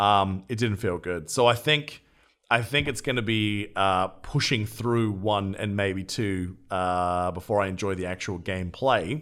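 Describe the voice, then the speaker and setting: In a very clean recording with a silent background, a man with a fairly low pitch speaks at a fairly slow pace with ordinary pitch variation. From Australia. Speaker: podcast host. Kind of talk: casual chat.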